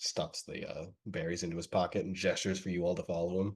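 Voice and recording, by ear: Fast delivery with little pitch movement and a slightly husky edge. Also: man, low pitch for a man.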